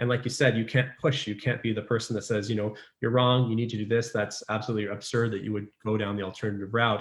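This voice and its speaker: Talking very fast with hardly any pauses, a man holds a medium pitch and a flat, monotone delivery. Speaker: pediatric resident physician. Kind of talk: casual interview chat. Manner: talkative.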